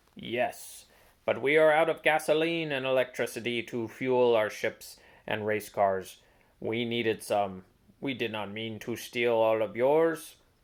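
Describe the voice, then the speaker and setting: At a fairly slow pace, someone performs a put-on character voice pitched low-to-middle. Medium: read story. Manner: formal, stilted.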